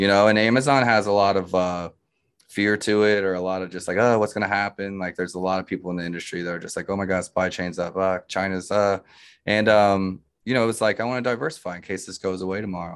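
A man talks at a very fast pace with a fairly low pitch. His intonation stays fairly even against a quiet background. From Africa (missionary childhood, born in Montreal). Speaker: e-commerce agency founder. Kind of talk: interview.

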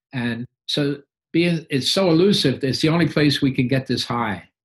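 The man's somewhat breathy voice keeps a moderate pace and shows ordinary pitch variation. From London, England. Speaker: recovering addict. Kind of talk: interview testimony. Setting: video call. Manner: halting.

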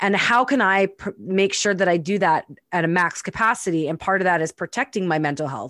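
Recorded very cleanly against a silent background, a woman with a plain, everyday voice speaks with ordinary pitch variation in a dry, close sound with no echo. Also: medium pitch for a woman, fairly quick pace. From Winnipeg, Canada. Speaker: podcast co-host, entrepreneur and coach. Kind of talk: casual conversational podcast chat.

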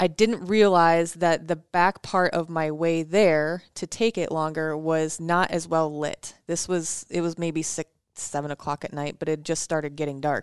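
In a normal speaking voice, a woman with an American accent talks at a fairly slow pace in a fairly low pitch, her intonation fairly even against a quiet background. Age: 30s. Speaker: podcast co-host, former radio producer. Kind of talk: casual chat.

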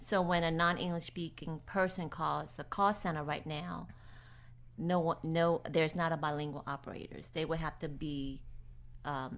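A woman with a very deep, low pitch and vocal fry speaks at a moderate pace with fairly even intonation. The recording is very clean, with a silent background. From New Orleans, Louisiana. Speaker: nonprofit executive director. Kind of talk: casual interview.

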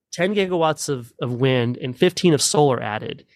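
A man with an American accent speaks at a moderate pace in a fairly high pitch with lively intonation, an unremarkable speaking voice. The sound is dry and close with no echo, on a very clean recording with a silent background. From Texas, Midland. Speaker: energy policy analyst. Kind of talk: interview.

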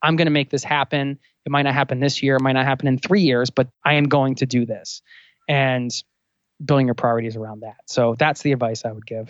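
A man's medium-pitched voice at a fairly quick pace, with fairly even intonation. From US Northeast, outside Philadelphia. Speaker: travel podcaster. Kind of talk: casual interview.

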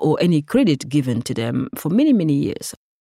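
A woman's voice has a dark, mellow tone. She talks at a fairly quick pace in a dry, close sound with no echo. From Senegal. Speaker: tech educator and nonprofit founder. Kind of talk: interview. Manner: halting, many fillers.

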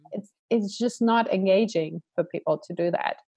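A woman with a plain, everyday voice speaks at medium pitch and a fairly slow pace. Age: 40s. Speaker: coach and event organizer. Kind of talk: interview.

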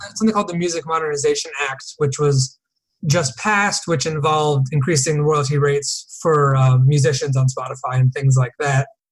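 This man has a fairly high pitch and an American accent, with ordinary pitch variation. He talks at a fairly quick pace, sounding somewhat breathy. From US Northeast, Connecticut. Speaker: entertainment attorney. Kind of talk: casual interview.

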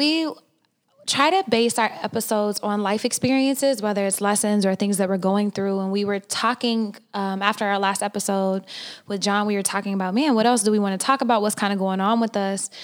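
A woman has a normal speaking voice at medium pitch, with fairly even intonation. She talks at a fairly quick pace in a very clean recording with a silent background. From Oklahoma. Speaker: podcast co-host. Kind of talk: casual chat.

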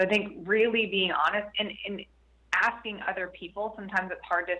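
A woman's unremarkable speaking voice at a moderate pace, with fairly even intonation. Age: 40s. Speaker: author and business co-founder. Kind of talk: interview.

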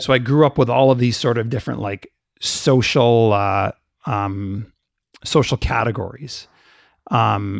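Against a quiet background, a man with a Canadian accent talks at a moderate pace and medium pitch, in an ordinary speaking voice with fairly even intonation and a dry, close sound with no echo. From Canada, of Jamaican family. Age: 40s. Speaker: business managing partner. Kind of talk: casual interview conversation.

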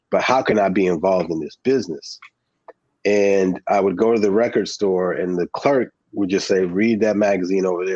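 A man with an American accent and a plain, everyday voice talks at a fairly quick pace with fairly even intonation. His fairly low-pitched voice has a dry, close sound with no echo. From New Jersey. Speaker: filmmaker. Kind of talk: interview. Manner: casual.

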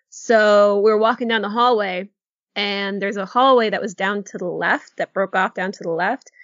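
Speaking at a moderate pace, a woman has a normal speaking voice of medium pitch with fairly even intonation. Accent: American. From New England, Connecticut. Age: 30s. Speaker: podcast co-host. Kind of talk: casual chat.

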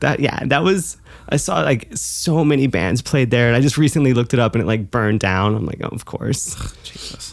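A woman talks fairly quickly with an American accent and a very deep, low pitch. Her intonation is lively, with vocal fry. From New Hampshire, US. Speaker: guest. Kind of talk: casual chat.

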